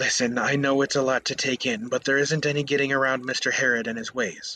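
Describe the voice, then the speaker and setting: A man talks very fast in a put-on character voice, his medium-pitched delivery flat and monotone throughout. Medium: read story. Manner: soft, hesitant.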